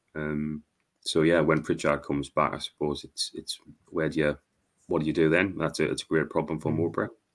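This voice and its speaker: This man has a Wearside accent and a very deep, low pitch. He speaks at a fairly quick pace. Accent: Wearside (Sunderland) English. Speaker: podcaster and football fan. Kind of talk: casual chat. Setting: video call.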